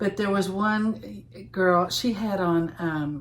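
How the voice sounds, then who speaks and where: In an eastern Kentucky accent, a woman speaks at a medium pitch with ordinary pitch variation, and the room echo is audible. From eastern Kentucky, Louisa. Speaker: knitting podcast co-host. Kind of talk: casual chat.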